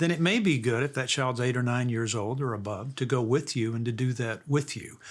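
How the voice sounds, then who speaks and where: A man at a medium pitch with ordinary pitch variation and a fairly quick pace. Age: 60s. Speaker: author and radio host. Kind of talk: interview. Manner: halting, repeated words.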